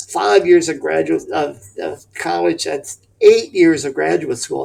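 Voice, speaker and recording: Words come very slowly from this man. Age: 70s. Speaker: professor emeritus of education. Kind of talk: interview. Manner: hesitant fillers (um, uh).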